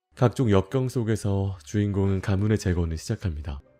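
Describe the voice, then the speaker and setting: A man's calm tone at a moderate pace, with music in the background. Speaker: game streamer. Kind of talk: game story narration.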